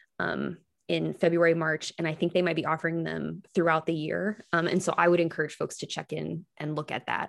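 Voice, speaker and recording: A Midwestern American accent at a fairly quick pace on a very clean recording with a silent background. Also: woman. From western Iowa, small town. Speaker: public radio digital producer. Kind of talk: interview.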